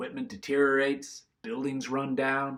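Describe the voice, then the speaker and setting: At a fairly high pitch and a moderate pace, a man puts on a character voice. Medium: read story. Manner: terse, gruff.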